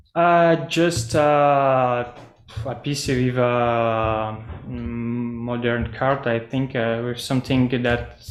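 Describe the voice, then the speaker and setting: A man with a medium-pitched voice speaks at a very slow pace. His intonation is fairly even, and the room echo is audible. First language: not English. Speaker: metaverse project presenter. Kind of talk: video call presentation Q&A. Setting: video call. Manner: halting, many fillers.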